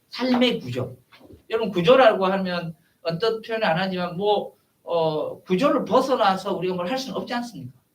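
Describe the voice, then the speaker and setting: At a moderate pace, a man with a high pitch speaks in very wide pitch swings and big swings in loudness. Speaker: professor. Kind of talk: lecture. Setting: seminar room with audience. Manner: halting, many fillers.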